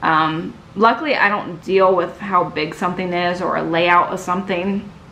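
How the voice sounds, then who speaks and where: Bright, sharp, medium-pitched speech from a woman at a moderate pace, fairly even in intonation, with audible room echo. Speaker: YouTuber. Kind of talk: personal vlog monologue. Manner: halting.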